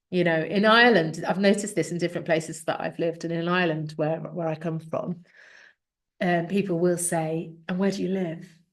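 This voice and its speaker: A woman with an English accent, fairly quick, fairly low-pitched, in a flat monotone. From English Midlands (Coventry area), Irish parents. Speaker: speaker coach and business mentor. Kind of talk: podcast interview.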